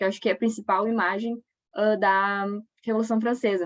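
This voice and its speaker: A woman's normal speaking voice, fairly high in pitch and fairly quick in pace, with a dry, close sound and no echo. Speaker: history teacher. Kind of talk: lecture.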